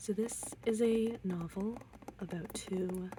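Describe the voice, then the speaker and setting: Soft-spoken and relaxed in tone, the voice comes through over noticeable background noise. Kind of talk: ASMR book tour, soft-spoken chatty talk to camera. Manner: soft-spoken, relaxed.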